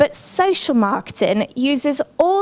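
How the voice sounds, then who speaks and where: The speaker talks with an English accent. The intonation is lively. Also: woman. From England. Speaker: social marketing expert. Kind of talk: conference presentation. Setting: conference room with audience.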